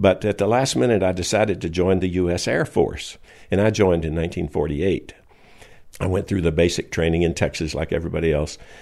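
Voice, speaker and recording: Very fast, very deep, low speech from a man with an American accent and ordinary pitch variation. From US South, Alabama. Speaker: retired research engineer and inventor. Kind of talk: interview.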